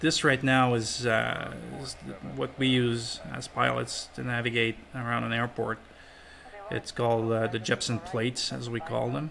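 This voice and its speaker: A man talks at a fairly slow pace while noticeable background noise carries on around him. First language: not English. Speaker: airline pilot. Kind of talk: tutorial. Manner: casual.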